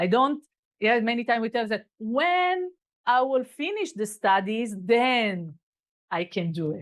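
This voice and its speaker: A woman speaks with a non-native accent at a fairly high pitch. Her pitch swings very widely. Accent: non-native English, self-remarked. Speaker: kabbalah teacher. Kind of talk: lecture. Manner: halting.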